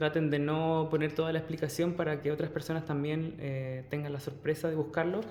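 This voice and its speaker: With audible room echo, a man speaks in a fairly high pitch with a dark, mellow tone. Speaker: tarot reader. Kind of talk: tarot reading. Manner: animated.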